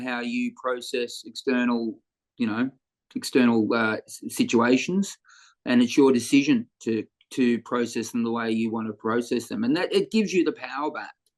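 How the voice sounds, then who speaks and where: The speaker talks at a moderate pace with an Australian accent. The background is quiet. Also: man. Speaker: comedian. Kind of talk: interview answer.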